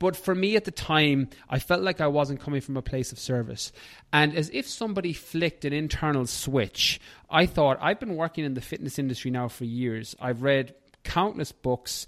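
With an Irish accent, a man speaks at a moderate pace in a fairly high pitch with lively intonation. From Ireland. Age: 30s. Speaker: fitness and nutrition coach. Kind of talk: casual interview chat.

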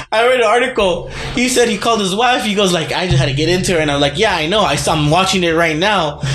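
Noticeable background noise sits behind a man who speaks very fast with very even loudness. His pitch is high and his intonation lively. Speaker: podcast host. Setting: studio.

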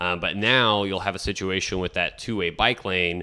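In an American accent, a bright, sharp tone comes at a fairly quick pace on a very clean recording with a silent background. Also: man. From Texas, Rio Grande Valley. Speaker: city council candidate. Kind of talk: radio interview.

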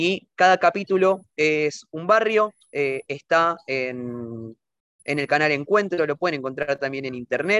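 A man with a fairly high pitch and a bright, sharp tone, very slow pace, lively intonation, and a dry, close sound with no echo. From Argentina. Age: 20s. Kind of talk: interview. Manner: halting, many fillers.

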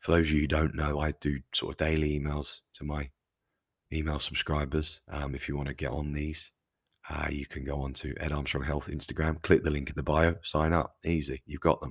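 A man's very deep, low voice with vocal fry, a flat monotone delivery and a fairly quick pace, in a dry, close sound with no echo and a very clean recording over a silent background. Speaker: podcast host. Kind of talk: solo monologue talk. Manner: casual, conversational; self-corrects, occasionally stumbles.

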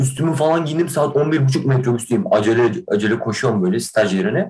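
A man speaks at a medium pitch with a somewhat breathy voice. His pace is moderate and his intonation lively. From Kahramanmaraş, Turkey. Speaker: theatre student podcaster. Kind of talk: casual chat. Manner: animated.

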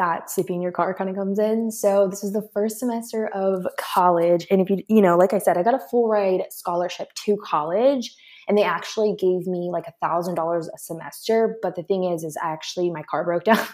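Using an ordinary speaking voice, a woman talks at a moderate pace with fairly even intonation. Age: 20s. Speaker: online business coach. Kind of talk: interview.

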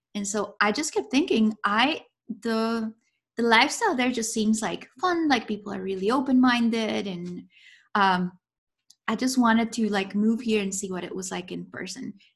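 In a very clean recording with a silent background, a woman with a Spanish accent speaks at a moderate pace. Her somewhat breathy voice sits at a fairly high pitch with ordinary pitch variation. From Colombia. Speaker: professor. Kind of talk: casual interview.

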